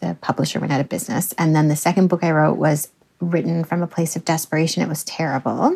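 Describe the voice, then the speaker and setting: A woman with a Canadian accent talks at a very fast pace in a very deep, low pitch, with vocal fry and fairly even intonation. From Canada. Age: 40s. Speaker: novelist. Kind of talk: interview.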